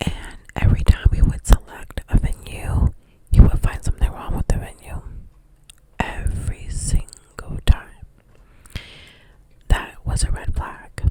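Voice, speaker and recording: Whispering at a fairly slow pace, a woman leaves long, frequent pauses while her loudness swings widely over noticeable background noise. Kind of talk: ASMR whisper ramble, personal storytime. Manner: whispered; chewing gum while talking.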